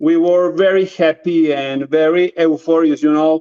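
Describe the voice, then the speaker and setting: The man's voice, with a Spanish accent, sounds dry and close with no echo. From Colombia. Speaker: drone videographer. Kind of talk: interview. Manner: halting non-native English; animated.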